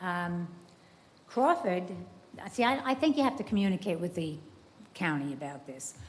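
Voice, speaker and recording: Her voice sits at a medium pitch and sounds somewhat breathy. The woman speaks at a fairly quick pace. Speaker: resident speaking at public comment. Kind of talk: public comment at city meeting. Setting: city commission meeting chamber. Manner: halting.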